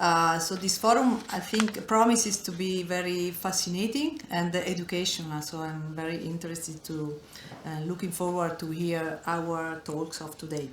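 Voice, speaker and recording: With noticeable background noise and audible room echo, a woman with a non-native accent speaks at a moderate pace in a fairly low pitch with ordinary pitch variation. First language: not English. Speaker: foundation director. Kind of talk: welcome speech. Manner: reading from notes.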